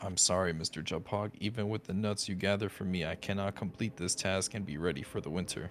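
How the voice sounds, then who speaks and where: Putting on a hissing character voice, a man talks very fast with hardly any pauses, his pitch very deep and low and his intonation fairly even. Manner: hissing, pleading.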